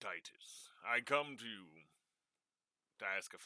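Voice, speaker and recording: A man uses a put-on character voice. His pitch is medium and his pace moderate. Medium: actual play. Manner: formal, elaborate.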